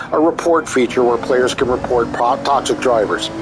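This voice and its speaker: A man talks at an even, moderate speed as background music plays. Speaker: gaming YouTuber and forum moderator. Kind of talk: commentary monologue. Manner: halting, stumbles over words.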